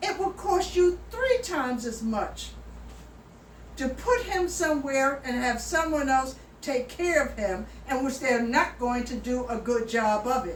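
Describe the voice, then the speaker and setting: Audible room echo surrounds a woman speaking fairly slowly at a high pitch. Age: 70s. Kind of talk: personal appeal video. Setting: at home. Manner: emphatic.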